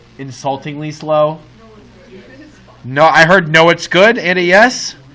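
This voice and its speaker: A man is heard over noticeable background noise. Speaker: high school math teacher. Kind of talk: classroom lecture. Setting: classroom with students. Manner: animated; fast.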